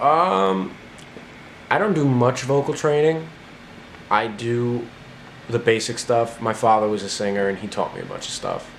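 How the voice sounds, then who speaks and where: A man speaks at a moderate pace and medium pitch, with ordinary pitch variation and long, frequent pauses. Noticeable background noise and audible room echo surround his voice. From New Jersey (north). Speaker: singer-songwriter. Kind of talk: interview answers. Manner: casual, halting with fillers.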